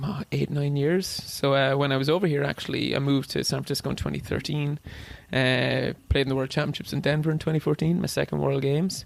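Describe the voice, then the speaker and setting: A man with an Irish accent talks at a very fast pace in a fairly even tone over noticeable background noise. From Ireland, Wexford (southeast). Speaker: ultra runner and cancer researcher. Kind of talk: casual chat.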